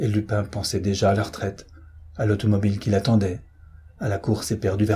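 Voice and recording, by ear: The text is read aloud. The voice sounds natural.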